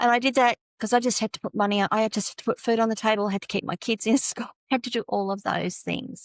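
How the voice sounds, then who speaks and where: A woman with an Australian accent speaks at a fairly quick pace. The recording is very clean with a silent background, and the sound is dry and close with no echo. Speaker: tech consultant. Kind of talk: podcast interview.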